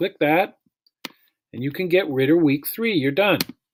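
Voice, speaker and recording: A man speaks over light background noise. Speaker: music teacher. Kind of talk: tutorial. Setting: screencast recording. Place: home room. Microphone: webcam.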